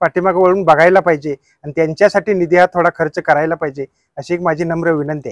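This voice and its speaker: A man speaks in a high, monotone, flat voice. The sound is dry, with no echo, over a quiet background. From Borpadale, Panhala, Kolhapur district, Maharashtra; Maharashtra. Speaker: retired blind wrestler; interviewee. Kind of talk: interview. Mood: earnest, humble appeal. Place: open country. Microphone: lapel.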